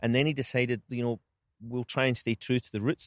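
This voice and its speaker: A very fast man's voice at a medium pitch, with a Scottish accent, dry and close with no echo. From Scotland. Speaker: golf club general manager. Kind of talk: interview answer.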